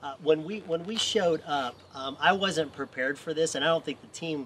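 A man in an ordinary speaking voice keeps a moderate pace, his pitch varying in an ordinary way. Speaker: missions trip volunteer. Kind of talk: interview.

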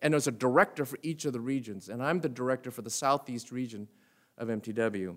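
This man talks at a very fast pace, with a medium pitch and ordinary pitch variation. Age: 60s. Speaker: retired pastor and mission director. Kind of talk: sermon. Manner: halting, many fillers.

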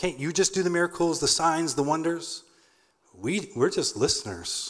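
A man speaks at a moderate pace. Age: 30s. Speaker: nonprofit founder. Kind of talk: sermon. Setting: church.

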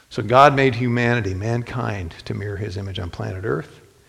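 A man with an American accent and a fairly low pitch speaks at a moderate pace, with audible room echo. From Ohio, US Midwest (Toledo). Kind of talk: sermon.

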